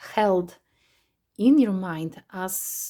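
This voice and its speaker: This very clean recording has a silent background. A woman speaks in a dark, mellow tone with ordinary pitch variation. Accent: non-native. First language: not English. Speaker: tarot reader. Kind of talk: tarot reading monologue. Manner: halting, many fillers.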